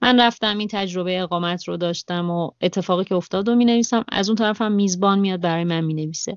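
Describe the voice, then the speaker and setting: Talking very fast with hardly any pauses, a woman keeps a medium pitch and fairly even intonation. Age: 30s. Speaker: travel podcaster and cafe-gallery owner. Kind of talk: interview. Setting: Skype call.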